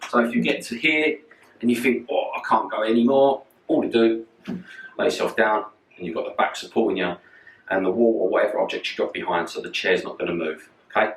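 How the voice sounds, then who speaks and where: A man with a London accent talks at a fairly quick pace with long, frequent pauses. Noticeable background noise is present. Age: 40s. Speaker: personal trainer. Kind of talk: fitness tutorial. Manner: casual.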